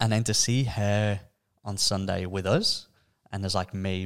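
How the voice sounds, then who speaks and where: A man in an Australian accent speaks at a fairly slow pace with a very deep, low pitch and flat, monotone intonation. The recording is very clean with a silent background. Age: 20s. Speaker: podcast co-host. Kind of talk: casual chat.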